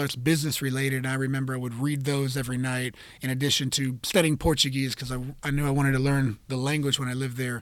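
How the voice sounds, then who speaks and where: The speaker talks at a fairly quick pace in a monotone with flat intonation. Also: man. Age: 30s. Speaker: jiu-jitsu instructor and podcast host. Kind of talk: solo podcast monologue. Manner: casual with frequent fillers.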